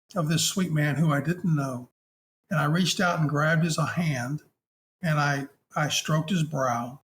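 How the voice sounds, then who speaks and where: Fairly high pitch from a man, with ordinary pitch variation. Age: 60s. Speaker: hospice chaplain. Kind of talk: interview storytelling. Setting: podcast interview. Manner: halting.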